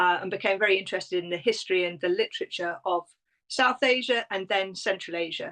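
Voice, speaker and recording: Over a quiet background, a woman with a British accent talks at a fairly quick pace in a dry, close sound with no echo. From Britain. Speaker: tourism consultant and travel writer. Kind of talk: interview.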